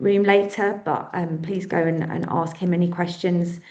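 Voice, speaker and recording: Intonation stays fairly even as a woman talks in a British accent. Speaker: charity event organiser. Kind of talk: event announcements. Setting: conference room with audience. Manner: fast.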